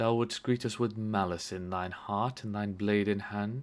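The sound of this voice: This is an unforced reading voice. Nothing more is marked.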